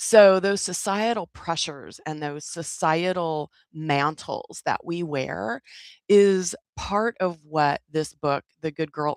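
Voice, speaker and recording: In a very clean recording with a silent background, a woman with an American accent speaks in an animated tone at a very deep, low pitch. Her pace is fairly slow, and the sound is dry and close with no echo. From US, California Central Valley. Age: 60s. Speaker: wellness community leader. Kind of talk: livestream community chat. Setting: YouTube livestream.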